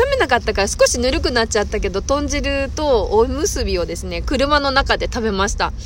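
Noticeable background noise sits under the recording. A woman speaks at a fairly quick pace. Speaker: podcast host. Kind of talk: casual chat. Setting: outdoors.

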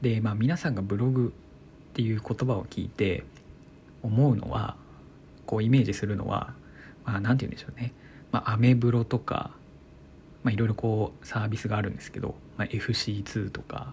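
A man talks at a fairly quick pace in a fairly low, somewhat breathy voice with a calm tone and ordinary pitch variation. His speech is broken by long, frequent pauses. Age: 20s. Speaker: blogger and podcaster. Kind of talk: solo talk radio monologue.

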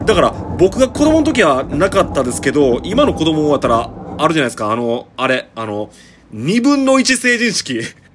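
In a Kansai accent, a man speaks at a moderate pace. His pitch is fairly high and swings very widely. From Shiga, Kansai (Shigaraki). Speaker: podcaster. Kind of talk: casual solo monologue. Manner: casual, chatty with laughs.

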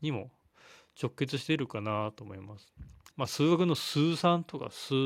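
Pitch swings very widely as a man talks at a moderate pace, his voice fairly high. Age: 30s. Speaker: physical therapist, solo podcaster. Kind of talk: solo monologue. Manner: hesitant, many fillers.

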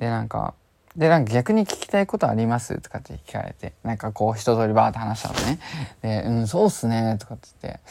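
Talking at a very fast pace, a man with a medium pitch and a dark, mellow tone shows ordinary pitch variation and big swings in loudness. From Japan, Chiba. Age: 20s. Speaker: podcaster. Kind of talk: casual monologue.

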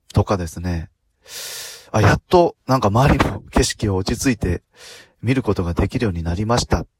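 Somewhat breathy, a man speaks at a moderate pace in a dry, close sound with no echo. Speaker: podcaster, former motorcycle driving instructor. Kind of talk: solo talk. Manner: many filler words.

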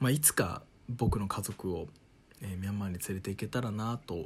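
In a very clean recording with a silent background, a man with a fairly low pitch and a somewhat breathy voice speaks at a fairly quick pace. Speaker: radio personality. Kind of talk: solo travel storytelling monologue. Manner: calm.

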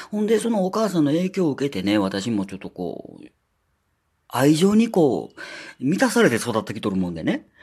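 This man speaks at a moderate pace in a fairly high voice, with very wide swings in pitch. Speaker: podcaster. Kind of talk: casual solo talk. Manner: chatty, many filler words.

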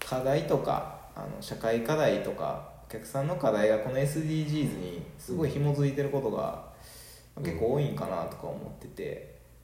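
A man's voice at a moderate pace, with audible room echo and noticeable background noise. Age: 30s. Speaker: podcast host. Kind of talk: casual chat.

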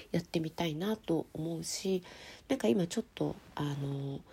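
A woman speaks with lively intonation at a fairly low pitch. Her tone is dark and mellow and somewhat breathy. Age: 40s. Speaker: writer and podcast host. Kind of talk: solo podcast answering listener mail.

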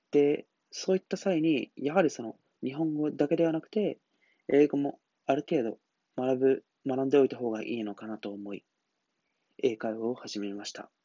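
With a calm tone and a fairly high pitch, a man talks at a moderate pace, his loudness swinging widely and his pauses long and frequent. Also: lively intonation. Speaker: solo podcaster. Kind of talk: solo monologue podcast.

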